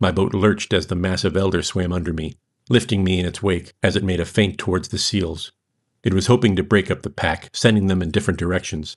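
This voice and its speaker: Very deep and low in pitch, a man talks at a fairly quick pace with an American accent. The recording is very clean, with a silent background. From United States. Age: 50s. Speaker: author. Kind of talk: reading aloud.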